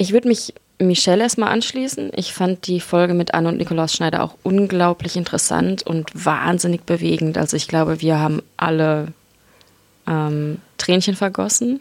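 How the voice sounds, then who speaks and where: Speaking with an ordinary speaking voice, a woman keeps a moderate pace, a fairly low pitch and ordinary pitch variation. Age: 20s. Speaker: musician and theology student. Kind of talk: casual chat. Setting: studio.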